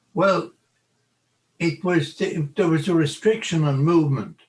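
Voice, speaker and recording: In an Irish accent, a man talks at a fairly slow pace. His voice is somewhat breathy. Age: 80s+. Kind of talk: interview. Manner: halting.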